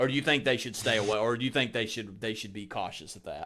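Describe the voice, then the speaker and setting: On a very clean recording with a silent background, a man speaks at a medium pitch with a bright, sharp tone. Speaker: podcast host. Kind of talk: casual chat.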